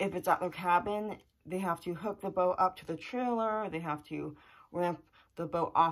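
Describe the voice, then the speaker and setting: A woman speaks with a fairly low pitch and a bright, sharp tone. Her intonation stays fairly even against a quiet background. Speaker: vlogger. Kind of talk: casual vlog chat. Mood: slightly anxious, thoughtful. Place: home room. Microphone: phone near.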